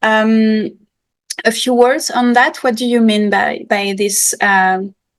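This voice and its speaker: A woman speaks with a French accent. Her voice is fairly high, with fairly even intonation. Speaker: podcast host. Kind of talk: podcast interview. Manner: halting.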